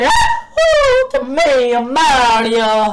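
The speaker uses a put-on character voice. Noticeable background noise runs underneath. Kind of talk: excited gaming commentary. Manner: cheerful, exclaiming.

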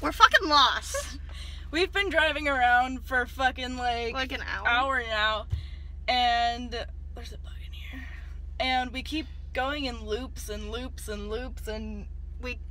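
The speech comes at a fairly slow pace in a dry sound with no echo. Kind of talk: casual vlog chat. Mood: nervous, giggly excitement. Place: car. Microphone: phone near.

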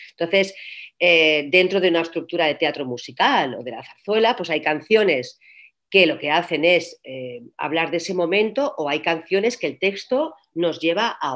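Against a quiet background, a woman with a fairly low pitch speaks at a fairly slow pace with lively intonation. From Catalonia, Spain (Reus); Catalonia, Spain. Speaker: actress and voice coach; actress, voice coach. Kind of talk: interview. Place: home room. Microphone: video call.

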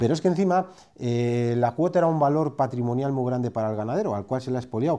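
Talking at a very fast pace, a man with a dark, mellow tone uses lively intonation. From Spain. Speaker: dairy sector expert. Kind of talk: interview. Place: office. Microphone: lapel.

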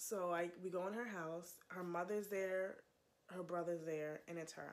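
A woman's fairly low-pitched voice at a fairly slow pace. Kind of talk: casual storytelling testimony. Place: home room. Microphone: phone near.

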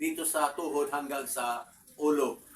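At a fairly slow pace, a man talks in a bright, sharp tone with ordinary pitch variation. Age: 60s. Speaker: vlogger. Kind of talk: casual talk to camera. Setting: at home. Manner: halting.

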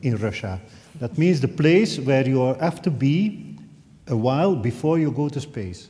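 Somewhat breathy and dark, mellow in tone, a man speaks at a moderate pace. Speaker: event host. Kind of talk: event introduction speech. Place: hall.

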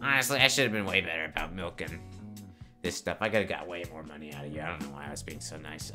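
A man's put-on character voice, very deep and low, delivered very fast over clear background music. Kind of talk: comic improvised skit. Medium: comedy sketch. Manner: casual, cheeky, rambling street-talk.

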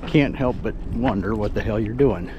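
A man's dry, echo-free voice with ordinary pitch variation over loud background noise. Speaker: truck driver vlogger. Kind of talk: casual vlog chat. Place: street. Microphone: phone near.

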